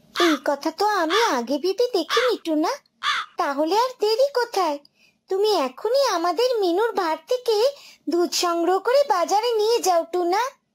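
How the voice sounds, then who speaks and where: In a cartoonish character voice, a female-sounding speaker talks at a moderate pace and an extremely high pitch. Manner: bantering, homely.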